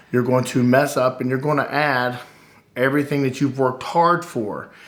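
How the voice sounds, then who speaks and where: A man at a moderate pace, with audible room echo. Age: 40s. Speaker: vlogger. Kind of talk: casual chat. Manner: hesitant, many fillers.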